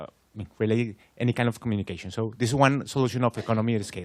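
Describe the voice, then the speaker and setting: A man speaks with a Spanish accent at a fairly low pitch. His intonation is fairly even. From Colombia. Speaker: audience member. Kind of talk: question and answer comment. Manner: halting, repeats words.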